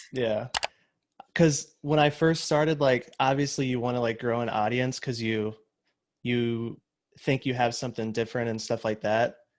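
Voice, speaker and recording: A man's medium-pitched voice at a moderate pace, with fairly even intonation. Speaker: wedding videographer and photography YouTuber. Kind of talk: casual chat. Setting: video call. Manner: monotone. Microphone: new microphone.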